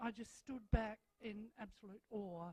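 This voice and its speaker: In an Australian accent, a woman speaks at a very slow pace with a dark, mellow tone and a dry, close sound with no echo. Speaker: school principal. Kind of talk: welcome speech. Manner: loud.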